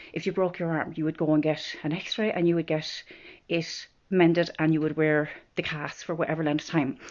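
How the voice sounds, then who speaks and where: A woman with a strong Irish midlands accent, very deep and low in pitch, at a moderate pace with fairly even intonation. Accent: strong rural Irish midlands. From Ireland, Offaly. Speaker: vlogger. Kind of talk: personal vlog about mental health. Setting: filming at home in bedroom. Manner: casual, hesitant with fillers.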